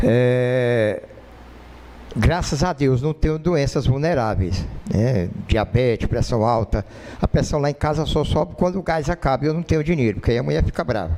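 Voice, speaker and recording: The intonation is lively, and noticeable background noise is present. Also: man, medium pitch for a man, moderate pace. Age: 60s. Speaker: lay preacher. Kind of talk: sermon. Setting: church.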